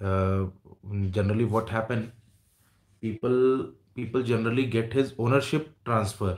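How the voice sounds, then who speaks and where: A man with an Indian accent speaks at very even loudness and fairly even intonation, with long, frequent pauses and audible room echo. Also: moderate pace. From India, Jamshedpur. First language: Hindi. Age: 30s. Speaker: YouTuber. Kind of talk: livestream chat with viewers. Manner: halting. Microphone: earbuds.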